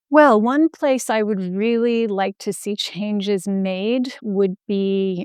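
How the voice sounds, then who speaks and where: A woman speaks in an ordinary speaking voice, fairly high in pitch with ordinary pitch variation. The recording is very clean and dry, close with no echo, over a silent background. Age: 60s. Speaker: health entrepreneur and patient advocate. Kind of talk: podcast interview.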